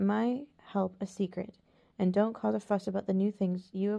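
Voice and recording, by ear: Intonation stays fairly even. The text is read aloud in a natural voice.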